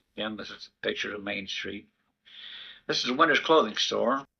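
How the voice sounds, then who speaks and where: A fairly low male voice with vocal fry, ordinary pitch variation, big swings in loudness and a moderate pace. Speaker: WWII army officer, veteran. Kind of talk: informal narration of old home-town film footage. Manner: casual, conversational, some hesitations.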